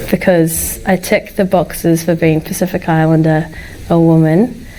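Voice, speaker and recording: Speaking at a moderate pace with fairly even intonation, a woman uses a fairly low pitch and a New Zealand accent. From New Zealand, Wellington. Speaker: tech sales professional. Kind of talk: casual chat.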